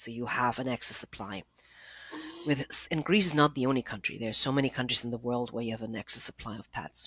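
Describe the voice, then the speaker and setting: The speech moves at a fairly quick pace with ordinary pitch variation. It carries a German accent. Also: woman. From Germany. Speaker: nonprofit founder. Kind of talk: interview.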